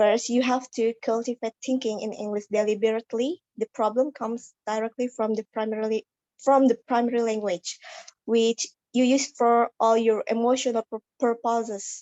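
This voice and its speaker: Using monotone, flat intonation, a woman with an Indonesian accent speaks at a moderate pace. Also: fairly high pitch for a woman. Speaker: student. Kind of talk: class speech. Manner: halting.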